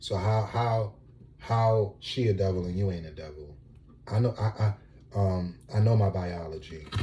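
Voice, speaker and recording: Soft-spoken and somewhat breathy, a man talks at a moderate pace with a fairly low pitch, ordinary pitch variation and a dark, mellow tone. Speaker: vlogger. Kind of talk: casual monologue. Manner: laid back.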